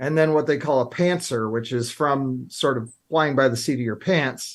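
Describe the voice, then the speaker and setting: At a moderate pace with ordinary pitch variation, this is an unremarkable speaking voice. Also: man, fairly high pitch for a man. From Illinois. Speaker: writing coach. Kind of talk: talk show interview. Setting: studio.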